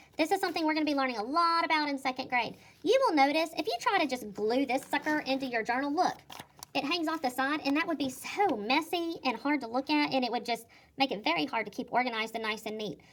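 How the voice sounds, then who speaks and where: A woman talks at a very fast pace in a high pitch. Her intonation is lively. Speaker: second grade teacher. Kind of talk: tutorial. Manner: animated.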